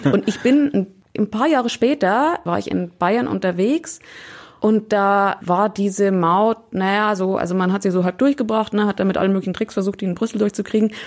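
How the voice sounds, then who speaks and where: A woman with an ordinary speaking voice talks at a moderate pace, her medium pitch showing ordinary pitch variation. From Upper Bavaria (near Altötting). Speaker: radio correspondent. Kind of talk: casual chat.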